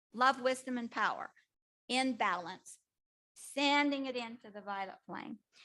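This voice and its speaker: A bright, sharp tone with ordinary pitch variation at a moderate pace. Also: woman. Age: 80s+. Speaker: energy workshop teacher. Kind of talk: class instruction. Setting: class in a room and on Zoom.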